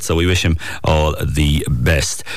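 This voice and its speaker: A man with a Kerry accent and fairly even intonation, over noticeable background noise. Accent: Kerry Irish. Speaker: radio host. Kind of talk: casual chat. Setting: studio.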